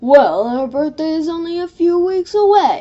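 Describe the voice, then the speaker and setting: A woman puts on a character voice at an extremely high pitch. She speaks at a moderate pace. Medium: read story. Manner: cheerful, mildly confused.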